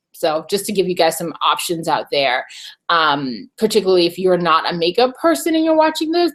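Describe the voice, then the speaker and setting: This is an ordinary speaking voice. It keeps a moderate pace with ordinary pitch variation. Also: woman. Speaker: beauty and video marketing vlogger. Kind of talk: live webinar tutorial. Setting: live online broadcast from home. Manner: casual, many fillers.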